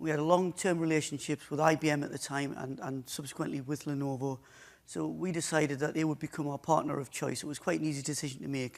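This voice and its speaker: With a strong northeast English accent, a man talks very fast at a fairly high pitch and with fairly even intonation. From northeast England. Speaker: IT service provider. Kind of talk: conference talk. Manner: halting.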